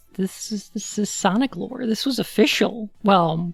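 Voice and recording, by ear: The speaker is reading aloud in a natural voice. The pitch variation is ordinary.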